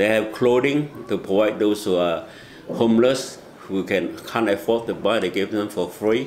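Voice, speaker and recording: A man with a Chinese accent speaks at a moderate pace and fairly low pitch, keeping his intonation fairly even. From Malaysia. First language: Mandarin Chinese. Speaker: asylum seeker and volunteer. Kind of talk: interview.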